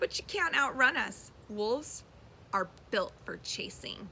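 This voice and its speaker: Amid clear background noise, a woman performs a put-on character voice that is high-pitched and growling, spoken at a fairly slow pace. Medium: read story. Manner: growling, menacing.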